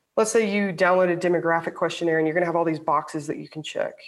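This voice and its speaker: This is an ordinary speaking voice from a woman with an American accent. Her pitch is fairly low and her intonation fairly even. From US South, Alabama. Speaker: sports psychology professor. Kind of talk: interview.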